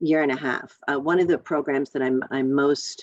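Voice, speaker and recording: The woman's voice comes across dry and close, with no echo. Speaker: county elected official. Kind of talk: community meeting update. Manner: fast.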